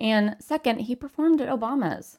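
On a very clean recording with a silent background, a woman speaks with lively intonation. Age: 30s. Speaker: podcast co-host. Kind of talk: casual chat.

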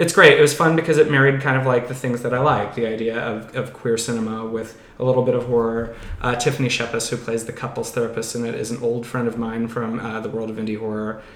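The speech comes at a very fast pace. Noticeable background noise and audible room echo fill the recording. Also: man, medium pitch for a man, fairly even intonation. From moved around US; teen years in western Pennsylvania. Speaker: horror and TV movie screenwriter. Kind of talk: casual chat.

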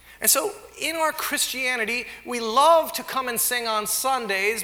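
In a room with audible echo, a man projects his voice at an extremely high pitch, speaking fairly slowly with lively intonation. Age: 40s. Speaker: pastor. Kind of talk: sermon.

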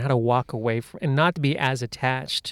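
With an American accent, a man speaks in a plain, everyday voice at a medium pitch and moderate pace, the sound dry and close with no echo. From United States, Indian heritage. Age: 40s. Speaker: comedian. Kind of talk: casual chat.

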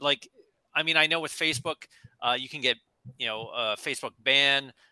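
This man talks at a moderate pace with ordinary pitch variation. The sound is dry and close, with no echo. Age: 50. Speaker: podcast host. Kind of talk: panel discussion. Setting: video call.

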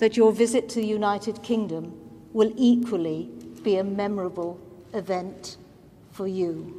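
There is noticeable background noise as a woman with a British accent speaks in a fairly high voice. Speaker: Lord Speaker giving vote of thanks. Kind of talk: formal vote of thanks.

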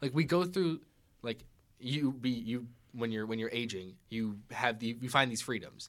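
A man with an American accent speaks at a medium pitch with ordinary variation in an unremarkable speaking voice, on a very clean recording with a silent background. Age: 20s. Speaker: audio editor and engineer. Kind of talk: casual chat. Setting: studio.

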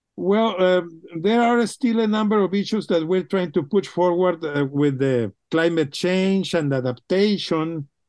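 A man with a Mexican accent speaks at a high pitch with very even loudness and hardly any pauses against a quiet background. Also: ordinary pitch variation, fairly slow pace. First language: Spanish. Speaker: water policy researcher. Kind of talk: interview. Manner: halting, many fillers.

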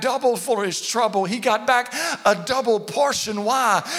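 Over noticeable background noise, the speaker uses an animated tone at a moderate pace. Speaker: pastor. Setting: church with a live congregation. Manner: animated, call-and-response, urging the crowd with repeated phrases; emphatic and repetitive, building rhythm through repeated words.

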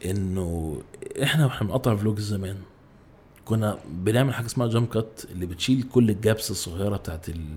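Very fast and somewhat breathy, a man speaks in a fairly low pitch with a dark, mellow tone. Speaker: YouTuber and ad director. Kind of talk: casual chat. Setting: podcast studio.

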